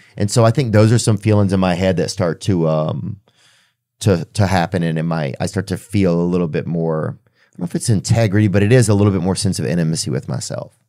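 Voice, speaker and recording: Very fast and in a very deep, low pitch, a man talks with an American accent and a dark, mellow tone. His pitch varies in an ordinary way, and the recording is very clean with a silent background. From Southern United States. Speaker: comedian, podcast host. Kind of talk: podcast conversation. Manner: hesitant, reflective.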